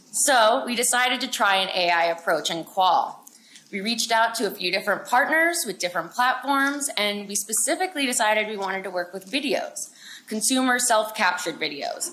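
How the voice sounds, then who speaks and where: A woman at a fairly quick pace, her pitch swinging very widely. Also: fairly high pitch for a woman. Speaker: market researcher presenting at a conference. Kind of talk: conference presentation. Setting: conference room with audience. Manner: loud. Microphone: no personal mic, speaking without being mic'd up.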